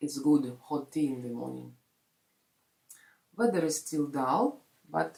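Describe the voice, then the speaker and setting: A woman speaks in a Russian accent. Her pace is fairly slow. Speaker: vlogger. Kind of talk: casual vlog talk. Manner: halting, many fillers.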